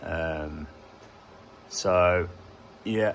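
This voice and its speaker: A man with a Birmingham accent, lively intonation and a bright, sharp tone. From England, Birmingham. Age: 30s. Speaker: HVAC engineer. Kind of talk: casual vlog talk to camera.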